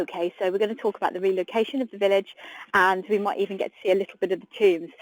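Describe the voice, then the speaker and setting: A woman with an English accent talks at a very fast pace, her intonation fairly even but her loudness swinging widely. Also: medium pitch for a woman. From UK. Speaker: tour guide. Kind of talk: live guided tour. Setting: outdoors, live stream walking tour. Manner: chatty, friendly.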